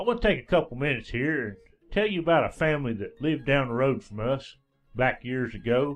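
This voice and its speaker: A man with a Southern Appalachian accent talks at a very fast pace, his fairly high pitch carrying lively intonation. Music plays in the background. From East Tennessee, Smoky Mountains foothills. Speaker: radio DJ and storyteller. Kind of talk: folk tale storytelling. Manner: folksy, casual.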